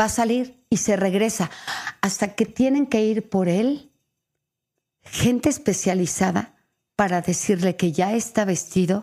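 Speaking fairly slowly, a woman has a dark, mellow tone. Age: 50s. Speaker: actress and radio host. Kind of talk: casual chat.

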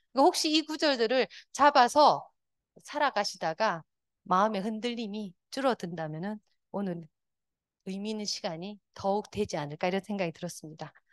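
Very wide pitch swings from a woman at a medium pitch, with long, frequent pauses in a dry, close sound with no echo. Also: moderate pace, quiet background. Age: 50s. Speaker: Won Buddhist minister and meditation teacher. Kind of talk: lecture.

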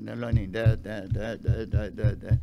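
With vocal fry and a slightly mellow tone, a man speaks at a fairly low pitch.

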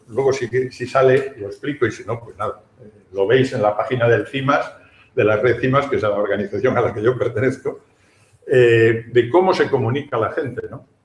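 With audible room echo, a man speaks at a moderate pace and medium pitch, his loudness swinging widely and his pitch varying in an ordinary way. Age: old. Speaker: professor emeritus. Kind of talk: panel discussion. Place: hall. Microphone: camera far.

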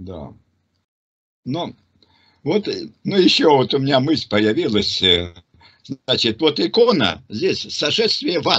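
A man with a fairly high pitch and vocal fry, at a very slow pace with long, frequent pauses and very wide pitch swings, over a quiet background. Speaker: religious teacher answering questions. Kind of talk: religious discussion. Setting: online group call. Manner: halting, many fillers. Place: home room. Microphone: video call.

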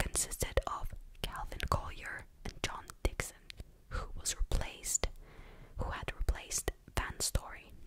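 A woman speaks in a dry sound with no echo. Loud background noise runs behind her. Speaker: true crime storyteller. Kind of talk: casual narration with commentary. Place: home room. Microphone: studio mic.

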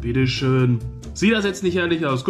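Clear music sounds in the background as a man speaks. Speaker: food reviewer. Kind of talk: casual vlog chat. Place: kitchen. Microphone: phone near.

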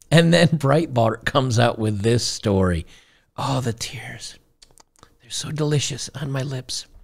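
At a fairly slow pace, a somewhat breathy man speaks with lively intonation. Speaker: streamer commentator. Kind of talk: reaction commentary. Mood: gleeful, mocking. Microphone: studio mic.

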